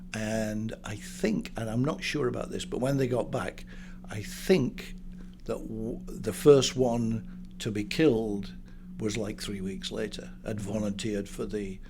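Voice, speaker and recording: A man with a northern English accent, medium-pitched with vocal fry and a dark, mellow tone, very wide pitch swings, a fairly slow pace and audible room echo. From northern England. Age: 70s. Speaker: business broker. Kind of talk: interview. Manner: halting.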